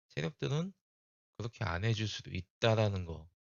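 This man's voice sits at a fairly low pitch. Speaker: stock market YouTuber. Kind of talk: chart analysis commentary.

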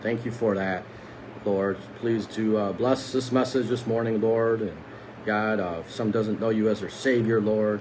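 Noticeable background noise sits under the speech. Delivery is fairly slow with fairly even intonation. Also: man. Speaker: lay preacher. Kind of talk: prayer and devotional talk. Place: home room. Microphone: phone near.

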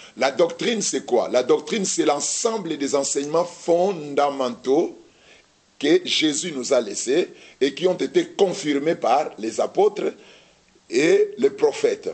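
Behind the voice, all is quiet. The man talks very slowly. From DR Congo, Kinshasa. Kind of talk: religious teaching in TV studio Q&A. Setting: TV studio with audience. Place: studio.

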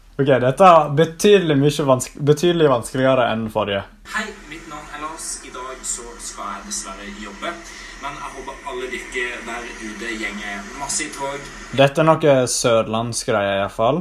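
A man speaks at a moderate pace with lively intonation, his loudness swinging widely over noticeable background noise. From Norway, Sogndal area (Western Norway). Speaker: YouTuber. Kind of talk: casual vlog commentary. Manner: animated, mixes in English exclamations.

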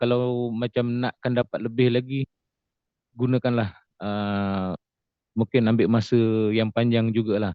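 A man talks at a fairly slow pace in a flat monotone, with long, frequent pauses. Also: medium pitch for a man. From Johor, Malaysia. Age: 40s. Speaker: stroke survivor and farmer. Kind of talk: testimony. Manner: halting, many fillers.

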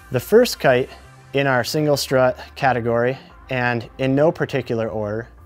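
Faint music sits in the background. A man speaks with ordinary pitch variation. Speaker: presenter. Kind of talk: product review presentation. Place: studio.

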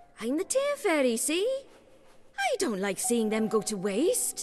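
A woman uses a put-on character voice, high-pitched and delivered at a fairly slow pace. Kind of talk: cheery, tidy-sounding, affectionate toward a child. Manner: funny, goofy fairy voice.

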